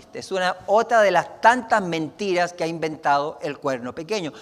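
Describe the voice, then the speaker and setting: A man with lively intonation delivers his words fairly slowly. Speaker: pastor. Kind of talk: sermon.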